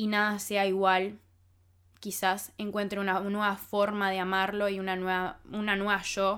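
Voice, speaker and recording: On a very clean recording with a silent background, a woman speaks fairly slowly with monotone, flat intonation. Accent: Rioplatense. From Argentina (Buenos Aires), childhood partly in France. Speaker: podcast host. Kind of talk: personal monologue.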